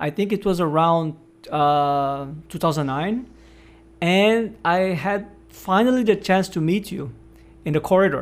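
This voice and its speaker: A man with a Portuguese accent speaks at a fairly slow pace, with long, frequent pauses. His pitch is high, with ordinary variation. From northeast Brazil. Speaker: podcast host and researcher. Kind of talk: podcast interview.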